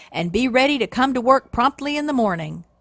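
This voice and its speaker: Using a put-on character voice, a woman talks at a fairly quick pace with high pitch and lively intonation, the sound dry and close with no echo. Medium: read story. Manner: hearty, grinning.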